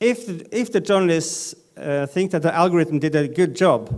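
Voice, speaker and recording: A man with a Norwegian accent and a high pitch speaks at a fairly slow pace with ordinary pitch variation. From Northern Norway. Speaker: data journalism editor, panelist. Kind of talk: conference panel presentation. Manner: halting, many fillers.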